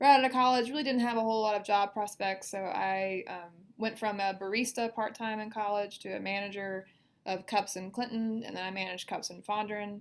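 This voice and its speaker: With a Southern US accent, a woman talks at a fairly quick pace, her intonation fairly even but her loudness swinging widely. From US South, Mississippi. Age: 30s. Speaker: financial advisor. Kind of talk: podcast interview. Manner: casual, with many fillers.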